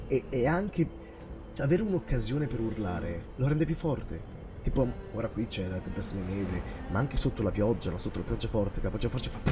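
A man at medium pitch talks at a very fast pace with very wide pitch swings and long, frequent pauses. Music plays in the background. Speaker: gaming streamer. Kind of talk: live game stream commentary.

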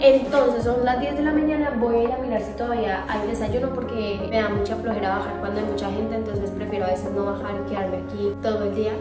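A woman talking very fast with hardly any pauses, over loud background music and audible room echo. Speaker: vlogger caring for a relative in hospital. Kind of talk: casual vlog chat.

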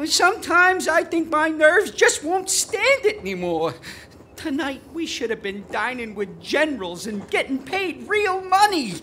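A put-on, whiny character voice, high in pitch and nervous, whiny in tone, swings very widely in pitch at a moderate pace over clear background noise. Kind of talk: 1940s radio acting. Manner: nervous, whiny, complaining.

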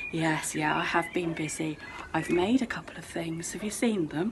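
A woman with a fairly low voice and ordinary pitch variation speaks over noticeable background noise. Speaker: outdoor education tutor. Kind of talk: playful acted phone chat. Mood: cheerful, playful. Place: garden. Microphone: phone near.

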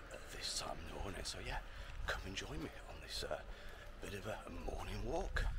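Over loud background noise, a man talks in a dry recording with no echo. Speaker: walking vlogger. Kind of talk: casual vlog chat. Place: street. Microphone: lapel.

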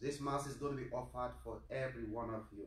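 In a room with audible echo, a man speaks at a moderate pace with monotone, flat intonation. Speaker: priest celebrating Mass. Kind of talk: liturgical address and prayer. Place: church. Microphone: camera far.

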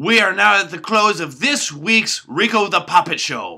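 A man's put-on character voice, high-pitched with big pitch swings, bright and sharp in tone, vocal fry, at a fairly slow pace

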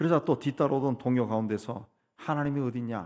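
A man speaks moderately fast, with pitch that varies in an ordinary way. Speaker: pastor. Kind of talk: sermon.

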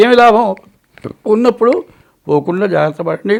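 A man is speaking. His intonation is lively. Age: 80s+. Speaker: astrologer. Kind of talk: horoscope talk.

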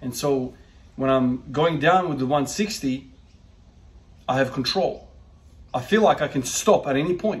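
This man's voice has ordinary pitch variation. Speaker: strength training vlogger. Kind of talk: casual vlog chat. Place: gym. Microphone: phone near.

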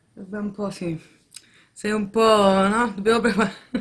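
A woman speaks over light background noise. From Italy. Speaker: family vlogger, mother; family vlogger. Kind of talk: casual vlog talking to camera.

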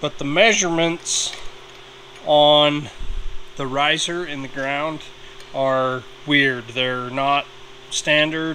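A man talks while light background noise plays behind him. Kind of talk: tutorial. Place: workshop. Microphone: phone near.

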